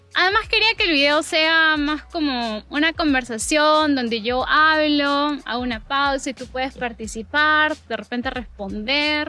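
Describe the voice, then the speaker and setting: A woman projects a raised voice with a bright, sharp tone at a high pitch. She moves at a fairly slow pace with hardly any pauses and ordinary pitch variation. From Peru, Lima. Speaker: language teacher, YouTuber. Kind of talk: casual chat. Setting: outdoors in a park, walking. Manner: natural native speed.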